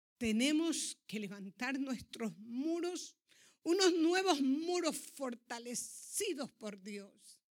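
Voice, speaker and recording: Speaking very slowly, a woman uses a high pitch with very wide pitch swings and big swings in loudness. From Ecuador. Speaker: pastor. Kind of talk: sermon.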